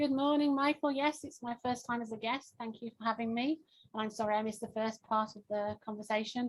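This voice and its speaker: A woman with a fairly high pitch, a strong English accent and fairly even intonation. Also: fairly quick pace. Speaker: pharmaceutical launch consultant. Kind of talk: networking self-introduction.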